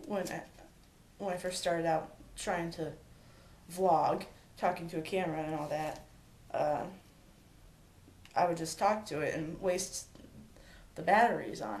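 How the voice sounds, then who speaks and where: A woman speaks at a moderate pace with a fairly low pitch, pausing long and often. Room echo is audible. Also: ordinary pitch variation. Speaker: vlogger. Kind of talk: personal vlog talk. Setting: home, talking to camera alone. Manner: stammering; halting, many fillers.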